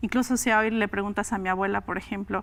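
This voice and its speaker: The speaker talks at a very fast pace in a flat, monotone delivery. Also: woman. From Oaxaca, Mexico (Mixe community). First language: Mixe (Ayuuk) (speaking Spanish). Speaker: linguist. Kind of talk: interview.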